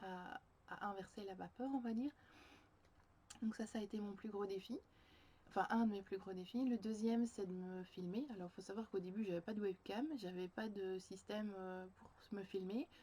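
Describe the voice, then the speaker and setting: Somewhat breathy and dark, mellow in tone, a woman speaks at a moderate pace and medium pitch with fairly even intonation and long, frequent pauses. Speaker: creative journaling coach and vlogger. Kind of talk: personal video diary reflection. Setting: home, sitting on the floor by a bookshelf facing a window. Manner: halting, many hesitations.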